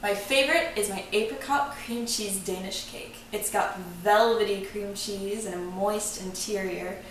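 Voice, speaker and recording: With an American accent, a woman speaks at a fairly slow pace and medium pitch with ordinary pitch variation, amid noticeable background noise and audible room echo. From Texas, Austin. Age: 20s. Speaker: engineer, cooking show applicant. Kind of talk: audition video, prepared monologue.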